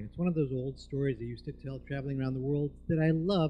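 A man speaks at a fairly quick pace in a dark, mellow tone that is somewhat breathy. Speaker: storyteller. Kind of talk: live storytelling performance. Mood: warm, humorous. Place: stage. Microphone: handheld.

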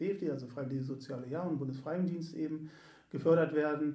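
In a room with audible echo, a man with a dark, mellow tone speaks with fairly even intonation. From Göttingen, Lower Saxony, Germany. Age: 40s. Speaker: sports club volunteer service manager. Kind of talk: casual interview. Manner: hesitant, many fillers.

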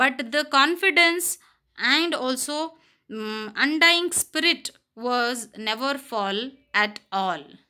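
A raised, projected voice with a bright, sharp tone and lively intonation moves at a very slow pace on a very clean recording with a silent background. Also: woman, high pitch for a woman. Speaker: school teacher. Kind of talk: reading aloud; lecture.

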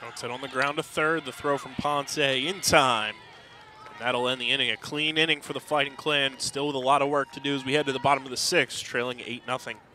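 Over noticeable background noise, a man with a fairly high pitch talks at a fairly quick pace, his loudness swinging widely. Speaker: high school sports broadcaster. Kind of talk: live sports commentary. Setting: ballpark broadcast. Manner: quick, clipped play-by-play, rising on fly balls, upbeat.

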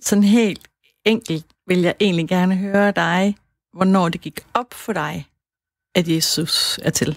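Very slowly, with long and frequent pauses, a woman speaks in a dry, close recording without echo. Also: medium pitch for a woman, fairly even intonation. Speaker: radio host. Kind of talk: radio interview questions.

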